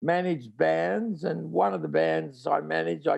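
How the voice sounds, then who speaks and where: This voice belongs to a man. He speaks with an Australian accent. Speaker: tour promoter. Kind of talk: interview. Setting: video call from home.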